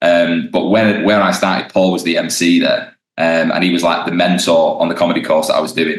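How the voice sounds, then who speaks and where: A man talks at a fairly quick pace with hardly any pauses. His loudness stays very even. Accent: British. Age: 20s. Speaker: stand-up comedian. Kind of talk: casual interview chat. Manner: hesitant, many ums and restarts.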